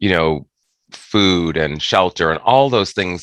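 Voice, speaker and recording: In a dry, close sound with no echo, a man speaks at a moderate pace in a very deep, low pitch with vocal fry. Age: 60s. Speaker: author and former aging-services worker. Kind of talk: podcast interview. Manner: halting, many fillers.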